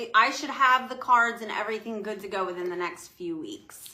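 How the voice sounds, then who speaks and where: A woman with a New Jersey accent, animated in tone, at a moderate pace. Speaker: spiritual business owner, oracle deck creator. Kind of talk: casual chat.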